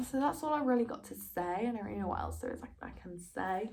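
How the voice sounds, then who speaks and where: A woman speaks with a Derby accent. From East Midlands, England (Derby). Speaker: university student vlogger. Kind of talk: casual vlog chat. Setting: home recording during quarantine. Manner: casual, filler-heavy.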